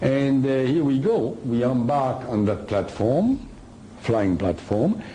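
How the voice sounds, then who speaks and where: Speaking very slowly with a French accent, a man keeps to a medium pitch with ordinary pitch variation, and the room echo is audible. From France. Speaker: author and lecturer. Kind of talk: lecture. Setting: hall with live audience. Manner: halting.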